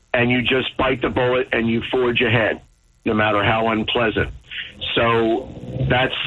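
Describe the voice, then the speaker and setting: There is noticeable background noise. A man speaks at medium pitch. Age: 60s. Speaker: caller. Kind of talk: call-in talk radio.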